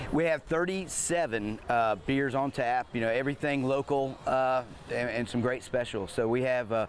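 A man talks at a moderate pace with hardly any pauses and very even loudness. His pitch varies in an ordinary way, and the dry sound has no echo but light background noise. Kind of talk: interview answer. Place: waterside. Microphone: lapel.

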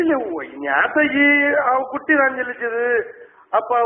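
Ordinary pitch variation marks this man's speech. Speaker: prank caller. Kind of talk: prank phone call. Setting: phone line. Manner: rambling, chatty. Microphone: phone line.

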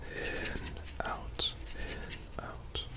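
A man is whispering. His voice is soft-spoken. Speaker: ASMR creator. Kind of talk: casual ASMR demo chat. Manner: soft rhythmic ASMR whisper. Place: home room. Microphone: studio mic.

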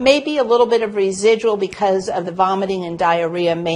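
A woman talks at a fairly quick pace in a fairly low pitch, with fairly even intonation and a slightly mellow tone.

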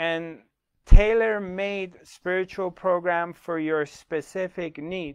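A man's very slow delivery with fairly even intonation. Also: quiet background. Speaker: spiritual teacher. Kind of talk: workshop talk to online audience. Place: studio. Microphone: lapel.

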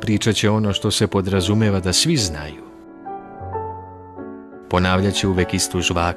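A man talks in a very deep, low pitch. Music plays in the background. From Serbia. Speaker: radio announcer. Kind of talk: prose reading. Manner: calm, composed.

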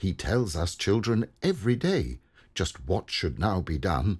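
The voice has a warm tone and vocal fry, moving at a fairly slow pace in a very clean recording with a silent background. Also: man. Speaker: poem reader. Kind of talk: reading aloud a humorous rhyming poem. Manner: gently humorous, warm, steady rhythm.

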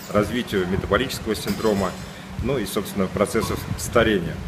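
A man's fairly low voice at a moderate pace, ordinary pitch variation, and noticeable background noise. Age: 50s. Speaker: businessman. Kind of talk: testimonial. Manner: hesitant, many filler sounds. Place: beach. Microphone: phone near.

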